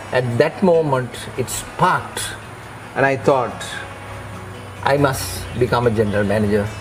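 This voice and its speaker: Over background music and with audible room echo, a man speaks at a moderate pace in a medium pitch with ordinary pitch variation. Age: 70s. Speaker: retired hotel executive and consultant. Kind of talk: interview. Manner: halting, many fillers.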